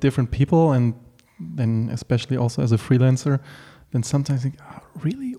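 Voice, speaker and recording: The speaker has a German accent and a dark, mellow tone. Delivery is at a moderate pace with fairly even intonation. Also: man. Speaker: podcast host and art director. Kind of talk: casual interview. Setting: home apartment.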